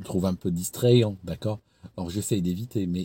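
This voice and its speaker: A man's fairly low, dark, mellow voice, somewhat breathy, at a moderate pace with ordinary pitch variation. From Switzerland, canton of Vaud. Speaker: YouTuber, former recruiter. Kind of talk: casual advice talk to camera. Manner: hesitant, many repetitions; animated, acts out scenes.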